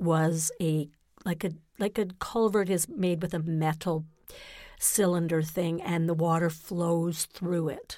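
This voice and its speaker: A woman with a Canadian accent speaks at a very slow pace, her intonation fairly even. Her pitch is fairly low, and her tone is dark and mellow. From Ontario, Canada (Napanee). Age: 60s. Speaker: guest. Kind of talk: casual chat. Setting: studio.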